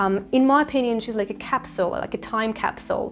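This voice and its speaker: A woman with a Russian accent. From Eastern Siberia, Russia. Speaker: English teacher. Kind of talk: casual talk to camera.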